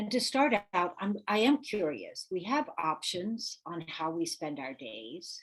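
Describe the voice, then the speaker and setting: A woman with a medium pitch speaks at a fairly slow pace, with vocal fry in her voice. Her pitch swings very widely, and she leaves hardly any pauses. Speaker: real estate coach. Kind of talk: live webinar workshop.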